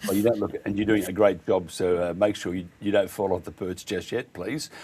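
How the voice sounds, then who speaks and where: In an Australian accent, a man speaks with a dark, mellow tone, fairly low pitch and fairly even intonation. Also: fairly quick pace. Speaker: radio host. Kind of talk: radio interview.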